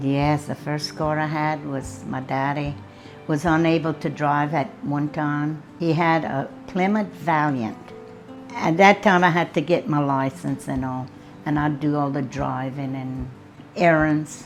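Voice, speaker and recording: Over background music, a woman with an American accent speaks fairly slowly in a very deep, low pitch with ordinary pitch variation. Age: 70s. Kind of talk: interview answer.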